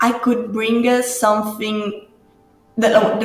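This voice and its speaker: A woman speaks with an Italian accent. Music plays in the background, and the room echo is audible. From Italy. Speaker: grappa distiller. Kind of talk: interview. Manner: halting; animated.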